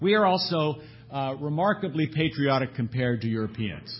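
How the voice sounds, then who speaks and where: Somewhat breathy male voice of medium pitch with lively intonation. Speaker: panelist presenting survey data. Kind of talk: conference panel presentation. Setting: conference hall with audience.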